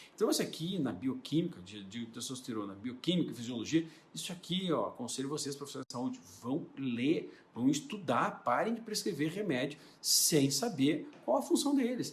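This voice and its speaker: A man speaks in a fairly high pitch with very wide pitch swings. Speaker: doctor. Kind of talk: educational talk. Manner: fast.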